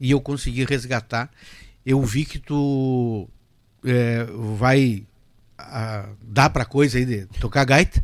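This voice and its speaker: A man's voice at a medium pitch. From Rio Grande do Sul, Brazil (Cruz Alta). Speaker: accordionist and lawyer. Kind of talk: casual interview. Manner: halting.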